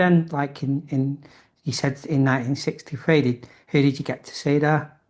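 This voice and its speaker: A man at a moderate pace, monotone and flat in intonation, with big swings in loudness. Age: 50s. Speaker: interviewer, local music historian. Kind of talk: interview.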